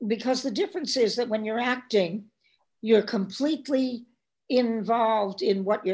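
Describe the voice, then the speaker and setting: Somewhat breathy, a woman speaks at a fairly high pitch with ordinary pitch variation. Her pace is moderate on a very clean recording with a silent background. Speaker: film director and actress. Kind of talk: interview.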